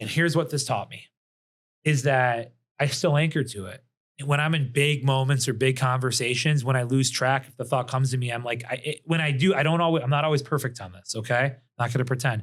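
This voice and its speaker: A somewhat breathy man at a fairly quick pace, medium in pitch, with big swings in loudness. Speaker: business founder and M&A advisor. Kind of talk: casual podcast interview. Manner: fast; animated.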